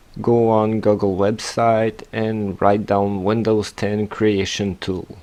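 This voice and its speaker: In a Quebec accent, a man talks very slowly in a flat monotone, his fairly low voice dark and mellow in tone. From Quebec, Canada. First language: French. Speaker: tech tutorial youtuber. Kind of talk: tutorial. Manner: hesitant, many fillers.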